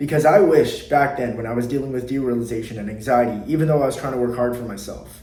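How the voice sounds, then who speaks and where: A man talks at a very fast pace in a medium pitch. His pitch varies in an ordinary way. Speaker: anxiety coach. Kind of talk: motivational talk to camera. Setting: sitting at a desk. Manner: unscripted, from the heart.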